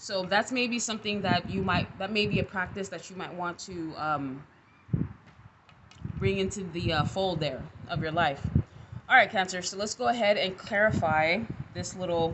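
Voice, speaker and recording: A woman speaks with ordinary pitch variation and long, frequent pauses. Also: medium pitch for a woman, moderate pace. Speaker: tarot reader. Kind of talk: casual tarot reading.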